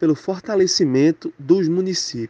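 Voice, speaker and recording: At a moderate pace, a man speaks with a Pernambuco accent and ordinary pitch variation, the sound dry and close with no echo. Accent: Pernambuco Brazilian Portuguese. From Pernambuco, Brazil (Zona da Mata Sul). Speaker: communications professional, former student. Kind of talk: interview testimony. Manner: casual, with repeated fillers.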